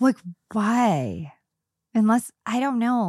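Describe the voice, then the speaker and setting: Recorded very cleanly against a silent background, a woman's voice has a dark, mellow tone and a dry, close sound with no echo. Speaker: podcast co-host. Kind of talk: casual chat between friends.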